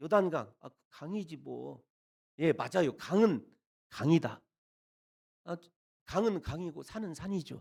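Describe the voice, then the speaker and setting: A man is speaking. His pace is moderate. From rural Korea. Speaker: guest pastor at revival meeting. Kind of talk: sermon. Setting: church revival service.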